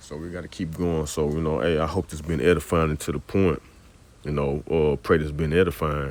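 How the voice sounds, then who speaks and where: Speaking at a fairly quick pace, a man uses a very deep, low voice with vocal fry and monotone, flat intonation. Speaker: religious teacher. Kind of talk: scripture teaching. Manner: casual.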